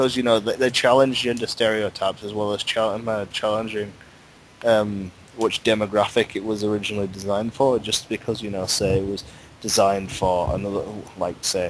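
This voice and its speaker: A man's fairly quick, fairly low voice in a Yorkshire accent, with monotone, flat intonation. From Yorkshire, northern England. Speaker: fan discussing fandom. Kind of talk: casual chat.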